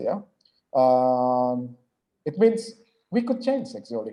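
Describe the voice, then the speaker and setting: A man speaks with an Indonesian accent. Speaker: lecturer. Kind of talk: lecture. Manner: halting, many filler sounds.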